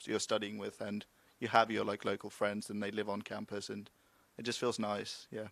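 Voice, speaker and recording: A man is speaking. His pitch is fairly low. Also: very clean recording, silent background. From eastern England (Cromer, Norfolk). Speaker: law student. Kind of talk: panel discussion. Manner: casual.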